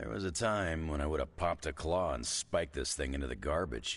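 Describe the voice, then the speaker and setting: Using a raspy, put-on character voice, a man speaks with very deep, low pitch at a fairly quick pace. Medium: video game. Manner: gruff, wry.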